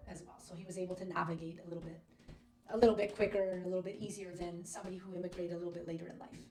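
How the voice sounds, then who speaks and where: A woman speaks very fast at a medium pitch, flat and monotone, with big swings in loudness. Audible room echo surrounds her. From Canada, Toronto. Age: 30s. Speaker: podcast guest. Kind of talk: casual chat.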